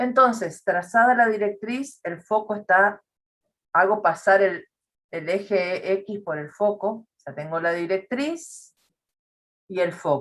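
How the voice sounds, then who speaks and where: A woman's medium-pitched voice at a very slow pace, with lively intonation. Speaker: math teacher. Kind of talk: lecture.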